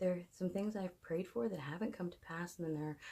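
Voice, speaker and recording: Soft-spoken and somewhat breathy, a woman talks in a dark, mellow tone with ordinary pitch variation. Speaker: fitness and motivation vlogger. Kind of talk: personal monologue. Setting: away from home at night. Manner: hesitant. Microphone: no microphone, device mic.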